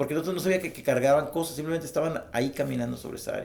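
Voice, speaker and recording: The man's intonation is lively. His voice carries vocal fry. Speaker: witness and book author recounting UFO encounter. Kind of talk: interview testimony. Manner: halting, many false starts.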